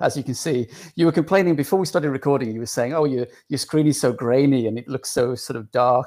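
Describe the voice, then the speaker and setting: With an English accent, a man talks fairly quickly in a dark, mellow tone at medium pitch, with ordinary pitch variation. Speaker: author and magazine editor. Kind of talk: casual interview conversation.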